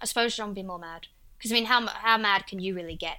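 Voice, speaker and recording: In an Essex accent, a woman talks at a very fast pace in a bright, sharp, medium-pitched voice with lively intonation, on a very clean recording with a silent background. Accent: Essex English, h-dropping. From Essex, England. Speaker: video creator guest host. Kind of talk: casual chat.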